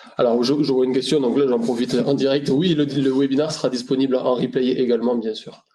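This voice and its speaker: In a Toulouse accent, a man speaks at a medium pitch and a very fast pace. He barely pauses, keeping his intonation fairly even. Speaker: RSE consultant. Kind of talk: webinar presentation. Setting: online webinar. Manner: hesitant, many fillers and repetitions.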